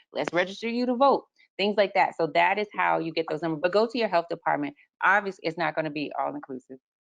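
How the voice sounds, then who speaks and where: Very fast speech with an American accent carries lively intonation and vocal fry. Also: woman, fairly low pitch for a woman. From Texas. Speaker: lactation consultant, webinar co-host. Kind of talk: casual panel discussion.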